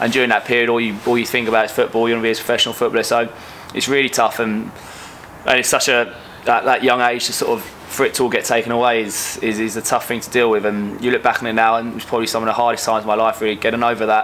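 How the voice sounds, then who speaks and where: A man at medium pitch speaks at a very fast pace with monotone, flat intonation. Noticeable background noise is present. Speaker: footballer, goalkeeper. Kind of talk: interview.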